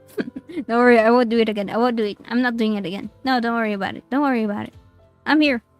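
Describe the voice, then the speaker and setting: A woman speaks at a high pitch with music in the background. The sound is dry and close, with no echo. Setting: online voice chat with a noise-filtered mic.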